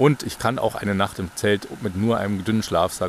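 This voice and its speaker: Over noticeable background noise, a man talks fairly quickly at a fairly low pitch. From Bavaria, near Munich. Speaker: podcast host, pilgrim. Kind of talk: casual conversation.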